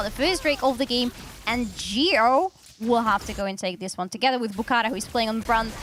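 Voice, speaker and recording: With music in the background, a woman speaks at a fairly quick pace in a high pitch, with a non-native accent. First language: not English. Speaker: esports caster. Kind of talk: live commentary.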